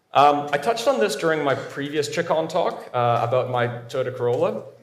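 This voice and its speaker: The speech moves at a fairly quick pace with ordinary pitch variation, and room echo is audible. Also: man, fairly high pitch for a man. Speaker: cybersecurity professional, conference speaker. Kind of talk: conference talk. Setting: stage with audience.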